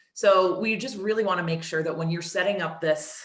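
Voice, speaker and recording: A woman talks at a fairly quick pace with ordinary pitch variation. Audible room echo and noticeable background noise are present. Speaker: marketing director presenting software. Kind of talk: product demo webinar. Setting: webinar. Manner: fast.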